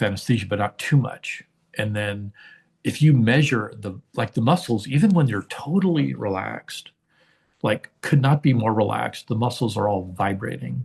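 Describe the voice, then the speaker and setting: A man speaks at a medium pitch with vocal fry and lively intonation. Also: moderate pace. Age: 60s. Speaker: engineer and artist. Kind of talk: interview conversation. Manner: hesitant, many fillers.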